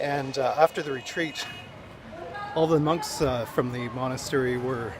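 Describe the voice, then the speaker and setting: With noticeable background noise behind him, a man speaks in a medium pitch at a moderate pace, using ordinary pitch variation. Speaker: travel vlogger. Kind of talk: travel vlog narration. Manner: hesitant, many fillers; soft-spoken.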